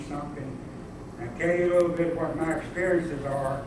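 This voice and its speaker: With a Southern US accent, a man talks at a fairly high pitch and fairly even intonation, amid noticeable background noise and audible room echo. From US South. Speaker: civil rights era witness. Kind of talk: talk to a class.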